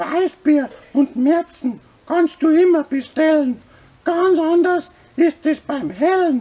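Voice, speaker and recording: Using a cartoonish character voice, a man speaks at a fairly slow pace with an extremely high pitch. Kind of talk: comedic puppet skit advertising a brewery festival. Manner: rhyming, jolly.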